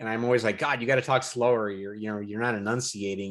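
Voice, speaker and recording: Speaking at a very fast pace, a man keeps a fairly low pitch and fairly even intonation in a very clean recording with a silent background. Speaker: podcast host; jiu-jitsu hobbyist. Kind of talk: casual chat.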